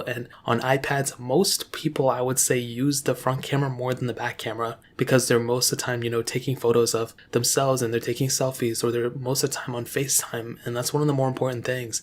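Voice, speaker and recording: With hardly any pauses, a man of medium pitch speaks at a fairly quick pace in a monotone, flat intonation. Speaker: tech reviewer. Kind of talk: product review. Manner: casual, conversational.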